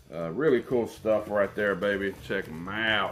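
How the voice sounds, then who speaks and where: With music in the background, a man with a West Virginia accent speaks fairly slowly in a relaxed, enthusiastic tone, using ordinary pitch variation. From West Virginia, USA. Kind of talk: casual, conversational. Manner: relaxed, casual, enthusiastic.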